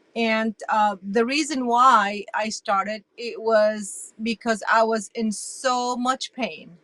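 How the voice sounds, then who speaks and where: Fairly even intonation comes through on a dry, close sound with no echo. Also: woman. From Iraq. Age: 60s. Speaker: interview guest sharing health story. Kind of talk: testimony.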